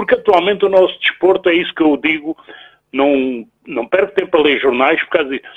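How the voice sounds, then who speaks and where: A man speaks with lively intonation. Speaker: caller, web radio producer. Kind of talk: phone-in opinion. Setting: phone call.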